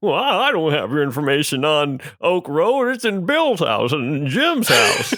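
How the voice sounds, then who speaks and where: A man's put-on character voice, high and with very wide pitch swings, at a moderate pace. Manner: fussy, bureaucratic.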